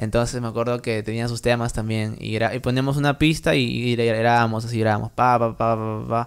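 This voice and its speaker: The delivery is monotone, with flat intonation and hardly any pauses. It moves at a moderate pace against a quiet background. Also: man. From Trujillo, Peru; Peru. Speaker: music producer; podcast guest. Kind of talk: casual interview; interview answer. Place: home room. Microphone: studio mic.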